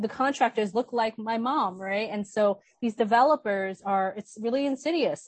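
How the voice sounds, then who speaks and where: Her voice is somewhat breathy, with ordinary pitch variation. The woman speaks with an American accent. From New York City, Brooklyn. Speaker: filmmaker and activist. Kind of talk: panel discussion.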